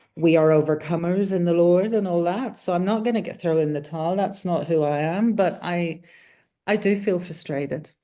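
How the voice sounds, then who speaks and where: A woman with a dark, mellow tone and fairly low pitch speaks at a moderate pace with ordinary pitch variation, against a quiet background. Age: 60s. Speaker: accountant and online money coach. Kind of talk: coaching call, describing her situation. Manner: halting, many fillers and restarts.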